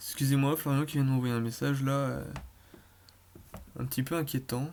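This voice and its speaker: A man talks at a medium pitch. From Brittany, France. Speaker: gaming YouTuber. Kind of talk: gameplay commentary. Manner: fast; hesitant, many fillers.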